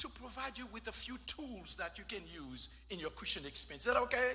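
Light background noise sits behind a man who talks at a moderate pace. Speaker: guest preacher. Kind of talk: sermon. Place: church. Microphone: podium.

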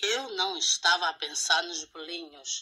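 Growling in a put-on character voice, a woman speaks at a fairly slow pace. Her pitch sits at a medium level. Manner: growling, menacing.

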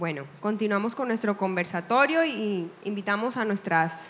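An ordinary speaking voice from a woman at a medium pitch with ordinary pitch variation and a fairly slow pace, with light background noise. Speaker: event presenter and moderator; presenter, moderator. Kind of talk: live event hosting. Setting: stage with audience, live event. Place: hall.

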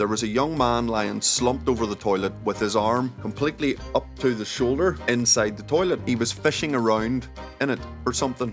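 Clear music plays behind a man with a Northern Irish accent. He talks at a fairly quick pace with ordinary pitch variation. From Northern Ireland. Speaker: former nightclub bouncer. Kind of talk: comedic anecdote storytelling to camera.

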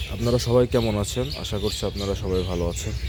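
Hoarse and fairly quick, a put-on character voice comes through with noticeable background noise. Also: man, fairly low pitch for a man. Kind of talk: greeting on a dairy farm YouTube channel.

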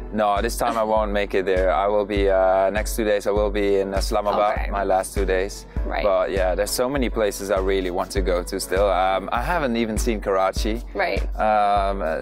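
A man at a moderate pace with hardly any pauses, clear music in the background. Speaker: guest. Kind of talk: interview answer. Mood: cheerful, enthusiastic. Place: waterside. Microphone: lapel.

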